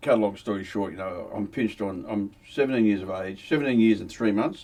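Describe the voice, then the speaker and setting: Here a man talks at a fairly quick pace with an Australian accent. His pitch varies in an ordinary way. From Australia, Victoria (Melbourne area). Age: 70s. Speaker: former criminal telling his life story. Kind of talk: casual interview storytelling.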